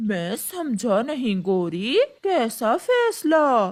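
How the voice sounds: A cartoonish character voice that sounds female, pitched fairly high.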